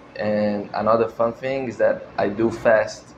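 Noticeable background noise sits behind a man's voice. He speaks at medium pitch and a fairly slow pace. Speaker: male pageant contestant. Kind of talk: self-introduction. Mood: friendly, relaxed. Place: studio.

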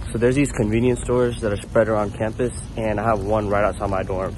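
The speaker rushes along at a very fast pace in a monotone, flat intonation. The sound is dry with no echo, over noticeable background noise. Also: man. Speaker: college student vlogger. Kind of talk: casual vlog chat. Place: street. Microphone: phone near.

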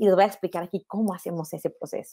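The tone is dark and mellow, at a fairly quick pace. The background is quiet. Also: woman. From Mexico, Monterrey; Nuevo León, Mexico. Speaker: photographer. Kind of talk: online lecture. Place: home room. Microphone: earbuds.

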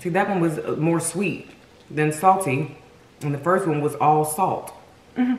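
A woman with fairly low pitch and ordinary pitch variation, at a moderate pace, with audible room echo. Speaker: food vlogger. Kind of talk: casual mukbang review chat. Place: home room.

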